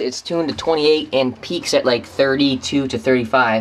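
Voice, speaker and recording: Some light noise can be heard in the background. Over it, a man talks. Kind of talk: casual vlog chat. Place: car. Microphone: phone near.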